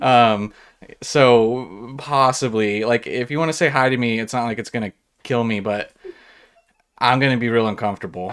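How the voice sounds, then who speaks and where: Speaking with an American accent, a man keeps a medium pitch, fairly even intonation and a moderate pace, with long, frequent pauses. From California. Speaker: Pokemon card YouTuber, live streamer. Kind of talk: casual live-stream Q&A. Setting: live stream, talking to a camera. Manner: casual, many filler words.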